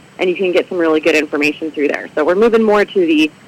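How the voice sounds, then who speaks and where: With an American accent, a woman speaks at a fairly low pitch with ordinary pitch variation, and background noise is noticeable. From Michigan. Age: 30s. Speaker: civic group president and librarian. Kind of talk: radio interview.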